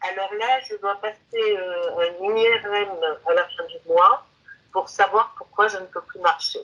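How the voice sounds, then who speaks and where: Very slow delivery with fairly even intonation and big swings in loudness. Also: woman, medium pitch for a woman. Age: 70s. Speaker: hypnosis client. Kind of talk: interview about health history. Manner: hesitant, many fillers.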